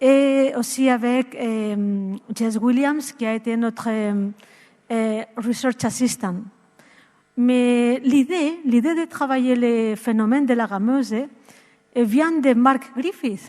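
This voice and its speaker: Very slow speech from a woman, high in pitch and ordinary in its pitch variation. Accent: Spanish. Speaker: psychologist and researcher. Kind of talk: conference talk. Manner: halting, many hesitations.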